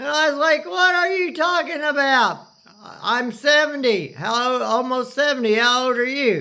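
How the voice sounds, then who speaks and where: A man's raised, projected voice at an extremely high pitch, with ordinary pitch variation and a moderate pace. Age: 60s. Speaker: storyteller recounting hospital stay. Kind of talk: casual personal storytelling. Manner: halting, many fillers and restarts.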